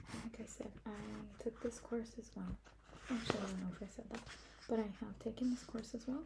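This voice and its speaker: A soft-spoken woman talks at a fairly quick pace. Her tone is gentle, and there is noticeable background noise. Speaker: ASMR creator doing a school librarian roleplay. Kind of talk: ASMR roleplay talking to the listener. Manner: soft-spoken, gentle, friendly.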